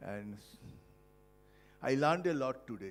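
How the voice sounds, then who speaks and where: A man at medium pitch with ordinary pitch variation and a moderate pace, music in the background. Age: 70s. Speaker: professor and Parkinson's patient. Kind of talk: testimony. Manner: halting.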